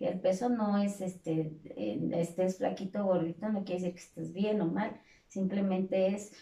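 A woman with an ordinary speaking voice talks at a moderate pace, her medium pitch held to a fairly even intonation. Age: 40s. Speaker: fitness instructor. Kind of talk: casual interview chat.

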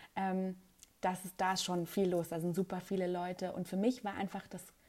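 At a medium pitch, a woman speaks fairly quickly in a dark, mellow tone. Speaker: TV reporter and presenter. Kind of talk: casual interview. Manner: hesitant with many fillers.

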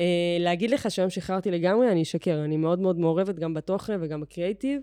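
Against a quiet background, a woman talks at a very fast pace. Her fairly low voice is dark and mellow, with ordinary pitch variation. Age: 30s. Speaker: social media agency owner. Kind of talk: podcast interview. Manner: casual, filler-heavy.

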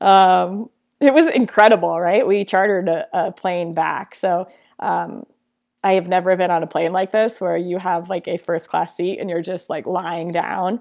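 At a moderate pace, a woman with an ordinary speaking voice and medium pitch is heard in a very clean recording with a silent background. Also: fairly even intonation. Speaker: sports broadcaster and former soccer player. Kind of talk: casual interview.

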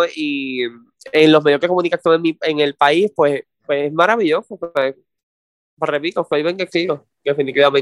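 With a Puerto Rican accent, a man speaks at a fairly high pitch with fairly even intonation, in a dry, close sound with no echo. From Puerto Rico, south coast (Salinas). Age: 20s. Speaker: actor and TV news producer. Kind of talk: interview.

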